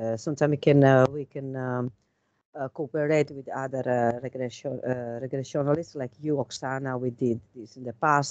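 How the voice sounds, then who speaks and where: Recorded dry and close with no echo, a woman with a strong Italian accent speaks at a moderate pace in a very deep, low pitch, her intonation monotone and flat while her loudness swings widely. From Italy. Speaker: tarot reader and regression hypnotist. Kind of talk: casual chat. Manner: halting.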